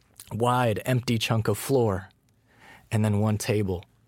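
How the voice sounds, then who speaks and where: With an American accent, a man speaks fairly slowly in a fairly low voice. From Colorado. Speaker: novelist. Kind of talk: conversation between writers.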